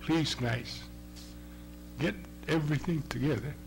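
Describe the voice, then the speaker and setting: Over music in the background, the speaker talks at a fairly slow pace. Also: man. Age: 60s. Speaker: testifying cancer patient. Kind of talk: public hearing testimony. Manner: halting.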